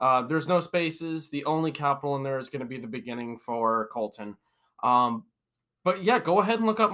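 A man's fairly high-pitched voice, bright and sharp in tone. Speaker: delivery driver. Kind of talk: casual chat.

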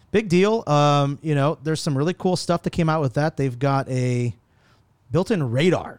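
At a moderate pace and very even loudness, a plain, everyday voice comes through with ordinary pitch variation and a dry, close sound with no echo. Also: man, fairly high pitch for a man. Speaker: tech podcast host. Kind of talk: casual chat. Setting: office boardroom. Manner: casual, profane.

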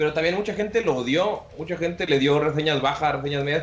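A man with a Mexican accent talks at a very fast pace, his fairly high pitch moving with ordinary variation. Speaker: podcast host. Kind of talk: casual chat.

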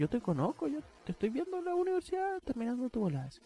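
A man with a Chilean accent talks at a very fast pace. His pitch swings very widely, and the sound is dry and close with no echo. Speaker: psychology student. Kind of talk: casual chat.

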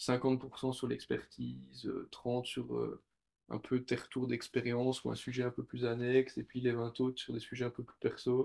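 A man speaks at a medium pitch and a fairly slow pace. His intonation stays monotone and flat. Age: 20s. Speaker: consultant. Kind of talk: casual chat.

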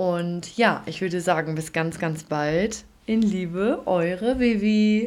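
Very slow speech from a woman at medium pitch, with ordinary pitch variation. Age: 20s. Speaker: podcast host and kindergarten teacher. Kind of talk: solo podcast introduction. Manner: warm, enthusiastic.

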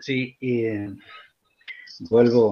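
A man at a very slow pace. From Argentina, central-north Formosa. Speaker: writer and teacher. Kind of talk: literary talk and reading aloud.

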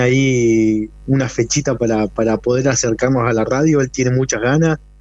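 At a fairly slow pace, a man talks with a medium pitch in a plain, everyday voice. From Argentina, Neuquén. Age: 40s. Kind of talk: interview.

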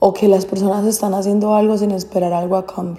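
This is a woman speaking at a medium pitch. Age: 20s. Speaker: podcaster. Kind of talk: casual monologue.

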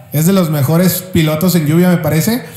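A man with a Mexican accent speaks in a high pitch with fairly even intonation, amid noticeable background noise and audible room echo. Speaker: motorsport podcast co-host. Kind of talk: casual chat.

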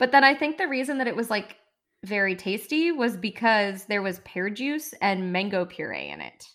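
Speaking in a normal speaking voice with an American accent, a woman talks at a moderate pace and fairly high pitch with lively intonation, on a very clean recording with a silent background. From United States. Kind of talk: casual chat.

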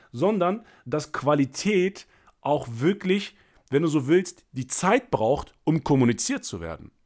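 A high-pitched man's animated tone and lively intonation at a fairly slow pace, on a very clean recording with a silent background. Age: 30s. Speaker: sales coach and podcast host. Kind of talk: solo podcast monologue.

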